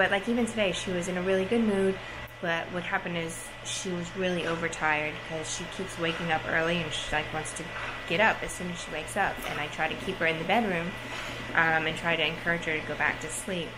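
A woman's very fast speech over noticeable background noise. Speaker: parent vlogger. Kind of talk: casual vlog chat. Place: home room. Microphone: phone near.

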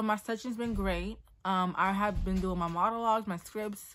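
A woman's bright, sharp voice at a moderate pace, with fairly even intonation over a quiet background. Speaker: modeling and acting student. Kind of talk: casual talk to camera. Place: home room. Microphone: earbuds.

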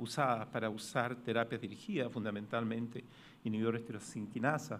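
A man with a Chilean accent speaks at a moderate pace over light background noise. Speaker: pathologist; conference presenter. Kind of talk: conference talk. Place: hall.

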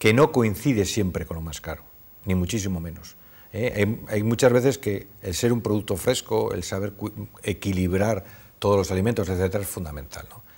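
Speaking at a moderate pace, a man with a fairly low pitch sounds somewhat breathy, with ordinary pitch variation. His loudness swings a lot. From Cantabria, Spain (Torrelavega); Cantabria, Spain. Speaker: businessman, supermarket chain executive; interviewee. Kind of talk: interview. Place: studio. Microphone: lapel.

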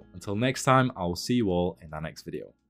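A man talks fairly quickly while music plays faintly behind him. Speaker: tutorial creator. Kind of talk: tutorial. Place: home room.

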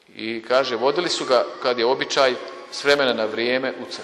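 There is noticeable background noise as the man talks in a medium pitch. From Bosnia and Herzegovina, Kupres. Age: 50s. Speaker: priest. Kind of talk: sermon.

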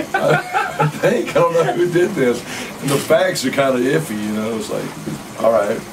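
There is noticeable background noise as a man with an Alabama accent speaks at a moderate pace. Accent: Southern US (Alabama). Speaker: musician; interviewee. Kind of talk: casual interview. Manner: animated. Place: home room.

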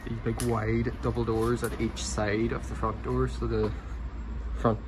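Speaking at a moderate pace, a man with a very deep, low pitch makes very wide pitch swings against noticeable background noise. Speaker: urban explorer vlogger. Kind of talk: casual vlog chat. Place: street. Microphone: phone near.

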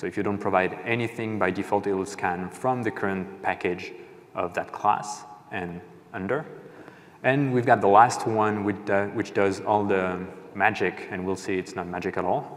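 A man with a fairly low pitch, an ordinary speaking voice, a moderate pace and fairly even intonation. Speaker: conference presenter. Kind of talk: technical talk. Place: stage. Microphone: lapel.

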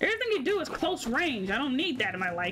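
A woman talks at a fairly quick pace in a raised, projected voice with very wide pitch swings. Noticeable background noise is present. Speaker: gaming streamer. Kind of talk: casual gameplay commentary.

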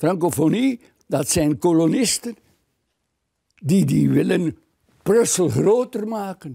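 Against a quiet background, a man talks very slowly at a high pitch, his tone dark and mellow and his intonation lively. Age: 80s+. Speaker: retired politician. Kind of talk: interview answer. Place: home room. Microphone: lapel.

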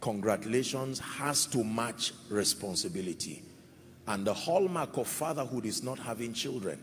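A somewhat breathy man at a moderate pace, with light background noise. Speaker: preacher. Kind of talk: sermon. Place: church. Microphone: handheld.

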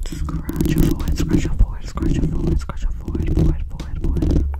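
A woman whispering at a fairly quick pace against noticeable background noise. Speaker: ASMR creator. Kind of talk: ASMR personal attention. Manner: repetitive trigger words.

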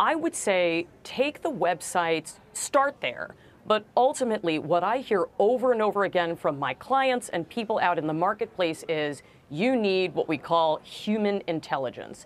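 Speaking at a moderate pace, a woman with an American accent makes very wide pitch swings. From New York (Brooklyn); New York. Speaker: law professor and negotiation author; law professor. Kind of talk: interview.

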